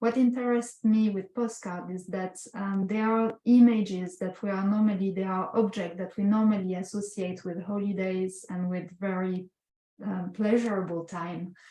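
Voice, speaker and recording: Somewhat breathy, with a dark, mellow tone, a woman of medium pitch speaks at a moderate pace in a flat monotone. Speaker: visual artist. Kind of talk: artist talk presenting slides. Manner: halting, many filler sounds.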